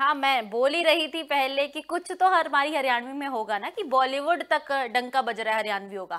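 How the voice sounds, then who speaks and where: A woman with a high pitch and a bright, sharp tone speaks at a moderate pace with hardly any pauses. Her intonation is lively, and the background is quiet. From Haryana (Rohtak); Haryana, India. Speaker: news anchor and interviewer; news anchor, interviewer. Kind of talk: interview. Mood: warm, polite. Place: studio.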